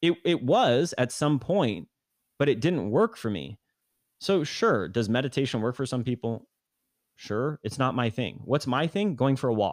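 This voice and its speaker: The voice has lively intonation, recorded very cleanly against a silent background with a dry, close sound and no echo. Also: man, medium pitch for a man. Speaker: podcast guest. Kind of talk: casual chat. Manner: fast.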